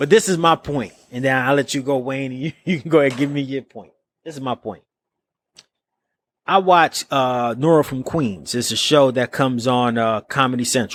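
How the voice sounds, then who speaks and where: With an American accent, a man speaks at a medium pitch and moderate pace in an animated tone, with ordinary pitch variation, big swings in loudness, and a dry, close sound with no echo. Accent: New York accent when back in New York. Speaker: podcast co-host, music artist. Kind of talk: casual podcast debate.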